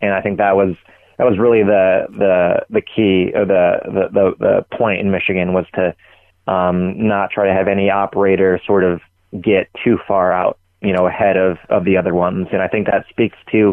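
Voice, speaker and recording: A man talks in a fairly low pitch. His intonation stays monotone and flat. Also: very even loudness. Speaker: gambling industry journalist. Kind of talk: casual interview chat. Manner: halting, filler-heavy.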